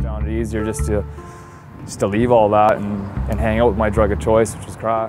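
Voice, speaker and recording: Over music in the background, a man talks at a fairly low pitch and a moderate pace, with lively intonation and big swings in loudness. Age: 20s. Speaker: person in addiction recovery. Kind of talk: documentary interview answer.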